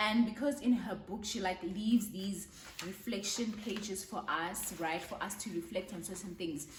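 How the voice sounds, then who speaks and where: An animated tone comes at a moderate pace with ordinary pitch variation and big swings in loudness, over noticeable background noise and audible room echo. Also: woman, medium pitch for a woman. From South Africa. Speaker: book reviewer. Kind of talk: casual vlog book review.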